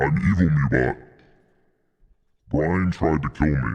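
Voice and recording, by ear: This man performs a put-on character voice pitched very deep and low. His pace is fairly slow.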